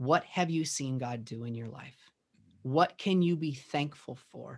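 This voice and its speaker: The voice is somewhat breathy, with an American accent and ordinary pitch variation. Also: man, quiet background. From US Midwest, Minneapolis western suburbs. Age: 30s. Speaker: worship pastor and songwriter. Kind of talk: podcast interview.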